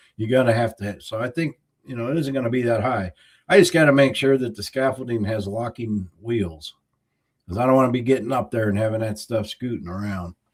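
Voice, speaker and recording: A medium-pitched man with a Southern US accent. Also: ordinary pitch variation, fairly quick pace. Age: 60s. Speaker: YouTuber. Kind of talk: livestream chat. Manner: casual.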